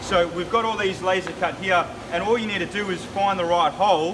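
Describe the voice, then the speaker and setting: A man with an Australian accent speaks at a fairly quick pace in a high pitch with fairly even intonation, with audible room echo and noticeable background noise. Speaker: business owner. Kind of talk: product walkthrough. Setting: factory floor. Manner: loud.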